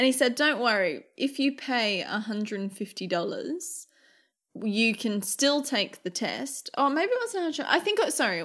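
A woman with an Australian accent speaks at a fairly slow pace. Her pitch is high, with very wide swings. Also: very clean recording, silent background. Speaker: podcast co-host. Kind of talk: casual chat.

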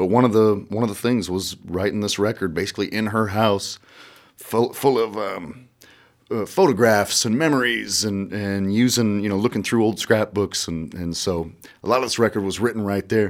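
A man's fairly low voice with an American accent, at a moderate pace with ordinary pitch variation. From US Midwest, rural southeast Iowa. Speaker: musician. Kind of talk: casual chat. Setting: radio studio. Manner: halting.

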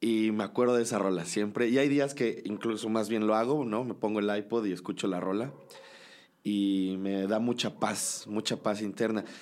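A man with a plain, everyday voice, fairly low in pitch, fairly even in intonation, at a moderate pace. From Mexico, Cholula, Puebla. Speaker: musician. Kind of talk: casual chat. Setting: in person, before a show.

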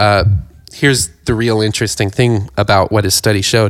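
With a normal speaking voice and an American accent, a man talks at a fairly quick pace with fairly low pitch and fairly even intonation, the sound dry and close with no echo in a very clean recording with a silent background. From rural Ohio. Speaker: podcast co-host. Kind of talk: casual chat.

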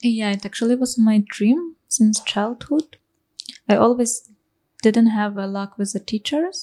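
A woman with a Ukrainian accent speaks at a moderate pace in a dark, mellow, somewhat breathy tone with fairly even intonation, the sound dry and close with no echo. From Ukraine. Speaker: musician. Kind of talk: interview.

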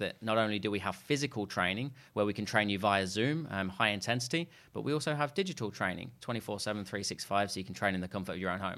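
Bright and sharp in tone, a man with an East Midlands accent talks at a very fast pace and a fairly low pitch, with ordinary pitch variation, in a very clean recording with a silent background. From England, Leicester. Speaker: sales trainer and business co-founder. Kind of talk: interview. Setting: studio.

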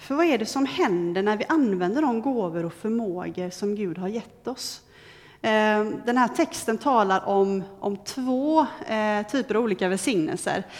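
This woman has a plain, everyday voice with a fairly high pitch. She talks at a fairly slow pace with lively intonation. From western Sweden, near Gothenburg. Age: 30s. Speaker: lay preacher, trainee judge. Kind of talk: sermon.

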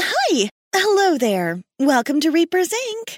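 A female-sounding put-on character voice goes extremely high in pitch with very wide pitch swings. The pace is fairly slow. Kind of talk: infomercial. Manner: bright, fake cheerful.

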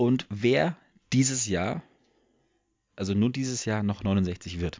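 A man talks with lively intonation. His pitch is fairly low. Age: 20s. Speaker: podcast co-host. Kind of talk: casual chat.

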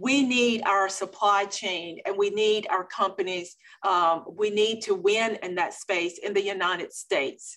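At a fairly slow pace with hardly any pauses, a woman talks with an American accent and an unremarkable speaking voice. Her pitch is medium and her intonation fairly even. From eastern North Carolina. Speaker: state commerce secretary. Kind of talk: interview. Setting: remote from her office.

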